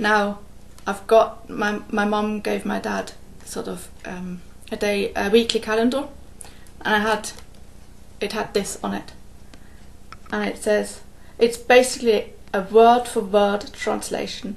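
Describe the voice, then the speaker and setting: Speaking with a German accent, a woman moves at a fairly slow pace with long, frequent pauses. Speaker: cross-stitch vlogger. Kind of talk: casual vlog chat. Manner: hesitant, with fillers.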